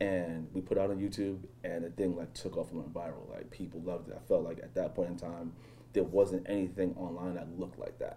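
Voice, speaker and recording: With a New York accent, a man with a very deep, low pitch talks at a fairly quick pace in a monotone, flat intonation, his loudness swinging widely. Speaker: professional BMX athlete. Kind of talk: casual interview chat.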